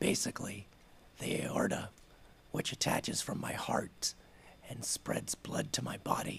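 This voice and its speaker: There is noticeable background noise. Under it, a man whispers very slowly. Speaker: city council member. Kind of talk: public statement at council meeting. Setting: city council meeting.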